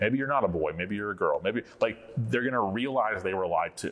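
A man with an American accent at a very fast pace. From Florida. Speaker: pastor. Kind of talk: conference talk. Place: hall.

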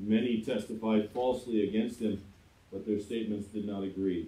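In a room with audible echo, a man talks at a moderate pace. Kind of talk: scripture reading. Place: church.

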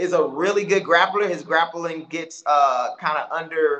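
Against a quiet background, a man with an American accent speaks at a moderate pace in a high pitch. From Houston, Texas. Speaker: MMA fighter; guest. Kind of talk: casual interview. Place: home room. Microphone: video call.

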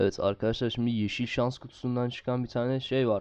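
A man's voice against a quiet background. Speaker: gaming YouTuber. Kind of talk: gameplay commentary. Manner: casual, chatty.

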